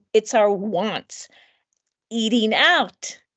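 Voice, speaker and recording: A woman talks at a very slow pace in a high voice. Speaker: lecturer. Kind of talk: lecture.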